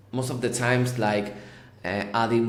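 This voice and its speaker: A man with a Spanish accent at medium pitch, fairly even in intonation, amid audible room echo and noticeable background noise. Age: 30s. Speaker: tech company founder and CEO. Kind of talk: podcast interview. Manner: halting, repeats words.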